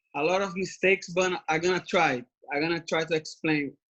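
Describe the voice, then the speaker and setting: A man with a Brazilian Portuguese accent, a high pitch, and a moderate pace. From Brazil (Brasilia, Rio de Janeiro). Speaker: MMA fighter. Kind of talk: interview. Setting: video call from home. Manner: halting.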